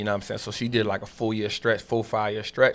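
On a very clean recording with a silent background, a man speaks at a fairly low pitch in a bright, sharp tone. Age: 30s. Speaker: financial educator, former street hustler. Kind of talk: casual interview.

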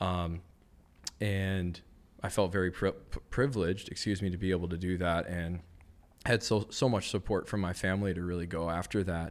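A man with a very deep, low pitch at a moderate pace, fairly even in intonation, with long, frequent pauses, on a very clean recording with a silent background. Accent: American. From US Midwest, Madison, Wisconsin. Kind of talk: casual interview chat.

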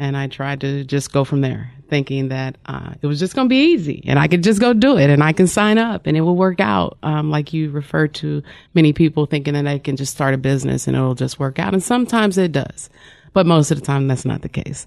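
A woman with an American accent speaks fairly quickly, her very deep, low pitch carrying lively intonation. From Kansas City area, Kansas. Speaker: health lab executive. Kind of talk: radio interview. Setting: studio.

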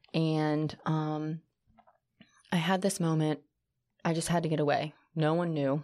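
A woman with a very deep, low pitch talks at a fairly slow pace in a dark, mellow tone, her intonation flat and monotone, her loudness very even, with long, frequent pauses. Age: 30s. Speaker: former teacher, real estate agent and cycle instructor. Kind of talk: casual chat. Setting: studio.

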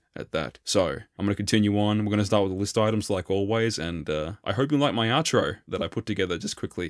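A man with an Australian accent talks at a very fast pace in a fairly low voice, with hardly any pauses and ordinary pitch variation. The recording is very clean with a silent background and a dry, close sound with no echo. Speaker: solo podcast host. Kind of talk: monologue commentary.

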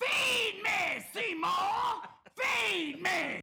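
A man uses a put-on character voice pitched extremely high. The sound is raspy. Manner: demanding, menacing.

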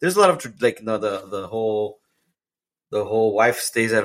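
A plain, everyday voice, a man at medium pitch and a fairly quick pace. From Mexican-American heritage. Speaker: podcast co-host. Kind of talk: casual chat.

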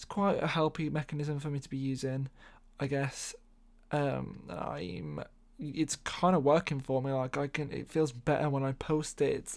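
Speaking at a fairly slow pace, a man with an English accent has a fairly high pitch and ordinary pitch variation. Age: 20s. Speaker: podcast host. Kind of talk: casual monologue. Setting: home bedroom.

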